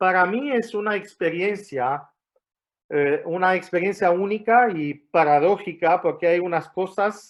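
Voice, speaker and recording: This man speaks in a high pitch with an Argentine accent and ordinary pitch variation. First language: not Spanish; learned it in Argentina (speaking Spanish). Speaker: guest preacher. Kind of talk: sermon. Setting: church. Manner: hesitant, many fillers and restarts.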